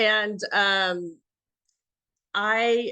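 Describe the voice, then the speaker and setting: Bright, sharp tone over a quiet background. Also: woman. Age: 60s. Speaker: entrepreneur and business coach for veterans. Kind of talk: podcast interview.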